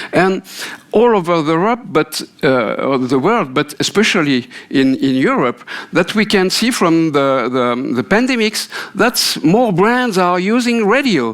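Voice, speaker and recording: Speaking at a fairly slow pace with a French accent, a man uses a high pitch and very wide pitch swings. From France. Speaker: radio industry consultant. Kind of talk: keynote speech. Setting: conference stage with audience. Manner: halting, many fillers.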